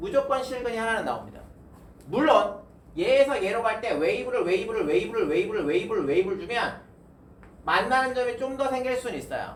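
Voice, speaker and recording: Fairly quick speech comes through noticeable background noise. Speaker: math tutor. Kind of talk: lecture. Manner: casual.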